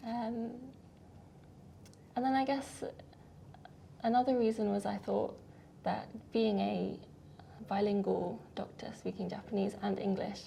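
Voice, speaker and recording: A woman with a British accent, at a fairly slow pace, with long, frequent pauses. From UK. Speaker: doctor. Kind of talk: interview.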